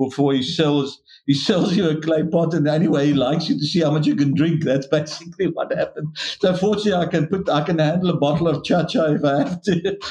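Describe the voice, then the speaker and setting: Somewhat breathy, a man speaks at a fairly high pitch. His pace is fairly quick, with ordinary pitch variation. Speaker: winemaker. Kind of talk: interview. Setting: video call.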